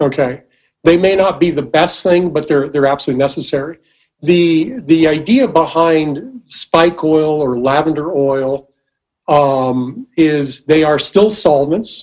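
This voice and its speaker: A man at a fairly slow pace, fairly high pitch and ordinary pitch variation. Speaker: paint maker. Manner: halting, repeats words.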